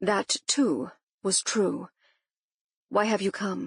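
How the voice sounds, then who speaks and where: A raspy, put-on character voice at a very slow pace over a quiet background. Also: woman, medium pitch for a woman. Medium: read story. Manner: dry, laconic.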